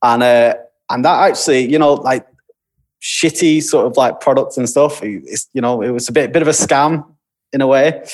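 With a Lancashire accent, a man talks at a moderate pace, fairly high in pitch with ordinary pitch variation. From Lancashire, northern England. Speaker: creative director. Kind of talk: casual chat.

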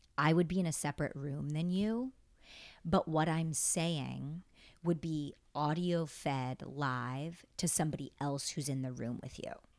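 A woman's very deep, low voice in an American accent, fairly slow and with ordinary pitch variation, on a very clean recording with a silent background. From upstate New York. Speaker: actor. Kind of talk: casual chat. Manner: laughs often.

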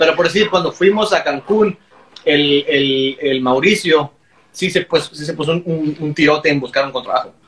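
A man speaks fairly quickly while noticeable noise fills the background. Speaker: punk band member. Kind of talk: casual chat.

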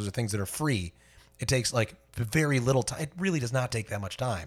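Somewhat breathy and animated, a man talks at a fairly quick pace and medium pitch with lively intonation. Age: 30s. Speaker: working musician, podcast co-host. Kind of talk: casual chat.

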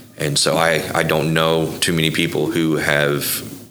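A man with an American accent speaks in a very deep, low pitch at a fairly slow pace, with monotone, flat intonation. Noticeable background noise and audible room echo are present. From Oklahoma (Bethany). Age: 40s. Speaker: coffee business owner, nonprofit founder. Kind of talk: interview conversation.

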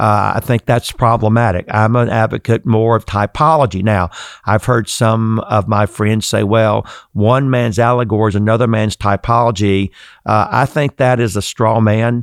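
The voice moves at a moderate pace with fairly even intonation and very even loudness. The recording is very clean, dry and close, with no echo and a silent background. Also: man, medium pitch for a man. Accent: Southern US. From US South. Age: 60s. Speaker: seminary president and preacher. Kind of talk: interview.

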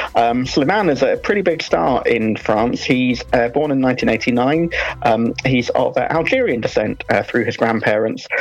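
A woman with very even loudness and hardly any pauses, over noticeable background noise. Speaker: music reviewer. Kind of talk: radio review segment.

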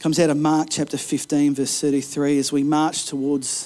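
A dark, mellow tone with an Australian accent, moderate pace, and a very clean recording over a silent background. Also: man. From Australia, Kempsey, New South Wales. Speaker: pastor. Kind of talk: rousing sermon climax, exhorting the congregation to push back against resistance. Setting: church service. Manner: impassioned and emphatic, punchy repeated slogans; animated storyteller, occasional stumbles when fired up.

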